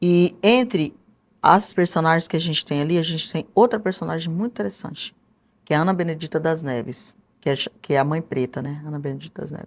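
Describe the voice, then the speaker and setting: Fairly quick and lively in intonation, a woman with a fairly low pitch speaks on a very clean recording with a silent background. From interior of Mato Grosso, Brazil. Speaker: historian and author. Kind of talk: interview.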